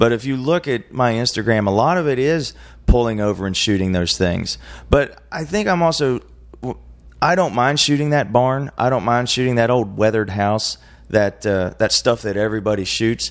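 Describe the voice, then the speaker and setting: A man speaks at a moderate pace in a medium pitch with lively intonation, in a plain, everyday voice. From West Virginia, moved around (Carolinas, Arizona). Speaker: musician and photographer. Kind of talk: casual interview chat.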